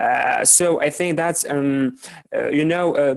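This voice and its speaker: Over noticeable background noise, a man speaks at a fairly slow pace, the sound dry and close with no echo. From Morocco. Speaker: doctoral student. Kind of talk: panel discussion. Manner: halting, many fillers and repetitions.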